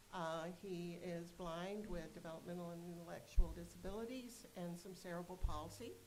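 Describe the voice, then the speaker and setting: A woman's fairly low voice with an American accent, at a moderate pace and fairly even in intonation, amid audible room echo and noticeable background noise. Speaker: board member, parent representative and nurse. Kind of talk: self-introduction at a board meeting. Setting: board meeting.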